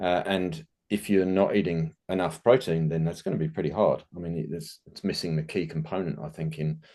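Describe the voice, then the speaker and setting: With an English accent, a man speaks fairly quickly with hardly any pauses, his very deep, low voice dark and mellow in tone and lively in intonation. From England. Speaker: nutrition business owner. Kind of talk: casual interview chat.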